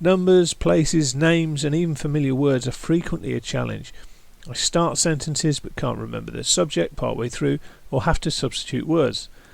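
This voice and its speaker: At an even, middling speed, the words come in a British accent. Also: man. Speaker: YouTube creator, brain tumour survivor. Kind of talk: personal testimony. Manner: halting, occasionally stumbling over words; measured, scripted delivery.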